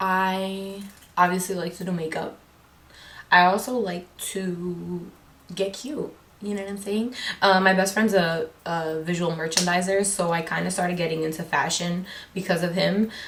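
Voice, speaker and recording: A woman with an American accent talks at a medium pitch with fairly even intonation, her voice carrying audible room echo and noticeable background noise. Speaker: beauty vlogger. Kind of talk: casual chat. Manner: loud; fast.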